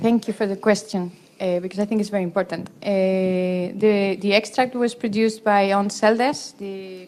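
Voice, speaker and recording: Speaking at a moderate pace with a Spanish accent, a woman keeps a medium pitch and fairly even intonation. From Spain. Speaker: professor, cancer researcher; conference presenter. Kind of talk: conference Q&A. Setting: conference hall with audience. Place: meeting room. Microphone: handheld.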